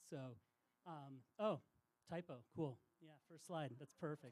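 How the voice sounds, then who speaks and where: A soft-spoken man talks at a fairly slow pace. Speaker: outdoor industry insider. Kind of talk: public talk.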